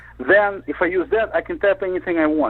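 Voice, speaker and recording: The speaker is a man. He has a Russian accent. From Soviet Union. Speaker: panelist. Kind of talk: casual chat.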